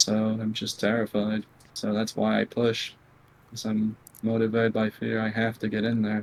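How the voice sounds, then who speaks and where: Flat and monotone in intonation, a man speaks at a moderate pace in a fairly low pitch. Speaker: video game player. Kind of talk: interview. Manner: soft-spoken.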